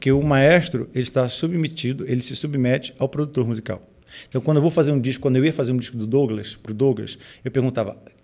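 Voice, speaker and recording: Against a quiet background, a man speaks very fast at a medium pitch with ordinary pitch variation. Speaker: pastor and music producer; pastor. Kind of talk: casual chat. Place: studio. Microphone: studio mic.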